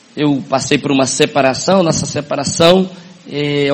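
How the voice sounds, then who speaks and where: Noticeable background noise sits behind a man talking at a moderate pace. His pitch is fairly high, with ordinary variation. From northern Paraná, Brazil (Paranavaí). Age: 50s. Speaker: network marketing business owner. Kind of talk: motivational talk. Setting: stage with audience.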